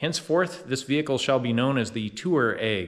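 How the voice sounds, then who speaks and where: A man with an American accent has a normal speaking voice at medium pitch. He talks at a moderate pace with lively intonation. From United States. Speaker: DIY car repair YouTuber. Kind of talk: casual tutorial vlog. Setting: home workshop, then wrecking yard.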